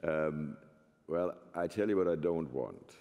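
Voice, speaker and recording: Speaking with a German accent at a fairly slow pace, a man has a very deep, low pitch. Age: 70s. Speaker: professor. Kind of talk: panel discussion.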